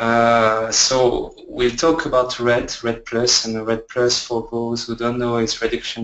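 A man speaks at a medium pitch with a French accent. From France. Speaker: research scientist. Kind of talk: webinar presentation. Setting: online webinar.

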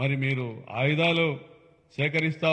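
A man speaks in an animated tone. Behind him the background is quiet. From Andhra Pradesh. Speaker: politician, state legislator; politician. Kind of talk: press conference speech. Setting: press meet with media. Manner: animated, combative; halting, phrase by phrase. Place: meeting room. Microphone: podium.

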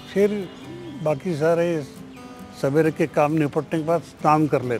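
Faint background music behind a man's fairly high voice at a very slow pace. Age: 80s+. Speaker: former politician and activist; interviewee. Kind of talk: interview.

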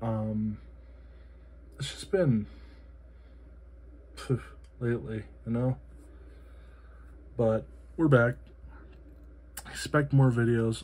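Speaking at a medium pitch and a very slow pace, a man uses lively intonation and sounds somewhat breathy. His loudness swings widely, and he leaves long, frequent pauses. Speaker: EDC gear reviewer. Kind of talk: product review. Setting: home, late at night. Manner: soft-spoken. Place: home room. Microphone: phone near.

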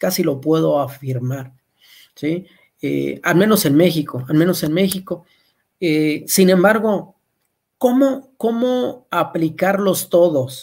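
A man speaks at a very slow pace with a high pitch and lively intonation. The background is quiet. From Mexico. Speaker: agronomist; presenter. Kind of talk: webinar lecture. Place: home room. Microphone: webcam.

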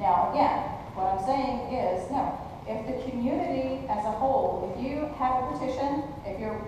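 Noticeable background noise and strong room echo fill this recording. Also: woman. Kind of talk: meeting discussion. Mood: explaining, mildly defensive. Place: hall. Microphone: camera far.

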